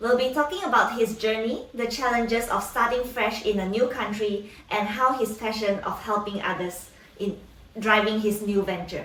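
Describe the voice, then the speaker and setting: A woman's fairly high-pitched voice at a moderate pace, fairly even in intonation, with noticeable background noise. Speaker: podcast host. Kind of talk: podcast intro.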